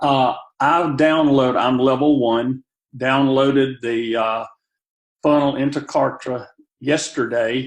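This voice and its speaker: At a very slow pace, with long, frequent pauses, a man of medium pitch speaks with fairly even intonation. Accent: Southern US. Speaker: caller, new network marketing member. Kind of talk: question on a group call.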